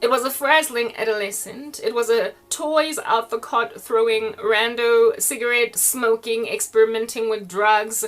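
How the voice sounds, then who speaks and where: A woman talks fairly slowly in a fairly high voice while noticeable background noise carries on behind her. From South Africa. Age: 40s. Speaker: online preacher. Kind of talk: casual monologue. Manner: animated.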